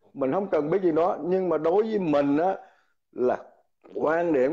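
A man's dark, mellow voice with lively intonation. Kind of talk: heated debate. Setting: live stream video call.

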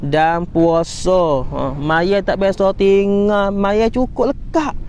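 A man talks very slowly at a high pitch with ordinary pitch variation, in a dry sound with no echo over light background noise. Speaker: Islamic religious teacher; religious teacher. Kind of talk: religious lecture. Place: beach. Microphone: equipment issue, replaced; lapel.

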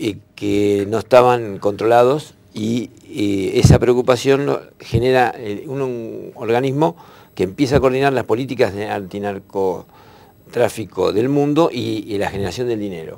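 A man's voice with vocal fry, a slightly mellow tone, fairly low pitch and ordinary pitch variation. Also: moderate pace.

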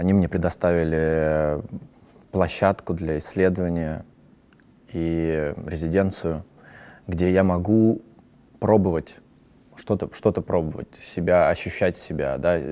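Very deep and low in pitch, a man with a dark, mellow tone speaks at a very slow pace with fairly even intonation and long, frequent pauses. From Russia. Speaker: actor and theatre director; actor, interviewee. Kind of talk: personal monologue. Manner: halting. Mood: calm, reflective. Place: studio.

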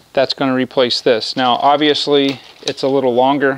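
A man speaks with monotone, flat intonation, the sound dry with no echo and light background noise. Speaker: presenter. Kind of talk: tutorial. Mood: opinionated, matter-of-fact. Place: street. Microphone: phone near.

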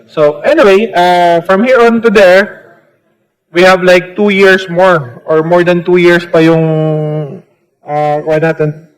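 A man with a high pitch, ordinary pitch variation, very even loudness and a fairly slow pace. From Samar, Philippines. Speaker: congressman. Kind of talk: congressional hearing questioning.

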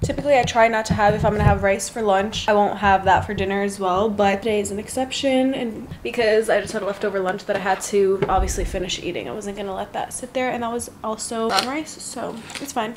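A woman at a fairly quick pace with hardly any pauses and fairly even intonation, over noticeable background noise. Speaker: lifestyle vlogger. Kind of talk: casual vlog chat. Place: kitchen. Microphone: phone near.

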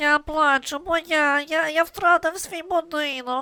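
Someone performs a put-on character voice at a fairly slow pace. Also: woman, extremely high pitch for a woman. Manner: mournful.

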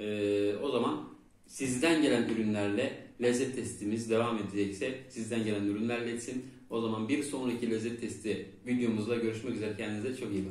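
A man talks at a moderate pace with fairly even intonation, and audible room echo surrounds his voice. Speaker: food review channel host. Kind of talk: product review vlog. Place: home room.

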